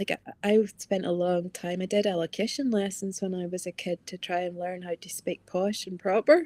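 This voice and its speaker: In a Northern Irish accent, a dark, mellow tone comes at a moderate pace with fairly even intonation and a dry, close sound with no echo. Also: woman, medium pitch for a woman. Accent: Northern Irish, strengthening. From Northern Ireland, Ballymena. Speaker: novelist. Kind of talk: book festival conversation.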